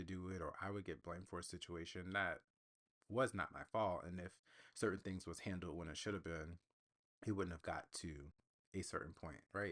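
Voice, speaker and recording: A soft-spoken man with a very deep, low pitch, fairly even intonation and a fairly quick pace. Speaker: podcast host. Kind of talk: solo podcast monologue. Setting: home recording with USB mic.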